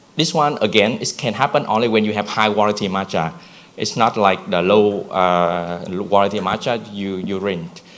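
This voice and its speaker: In a Vietnamese accent, a man talks at a moderate pace and a fairly low pitch, with ordinary pitch variation. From Vietnam (Nha Trang). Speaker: brand founder. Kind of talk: conference presentation. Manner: halting, many fillers.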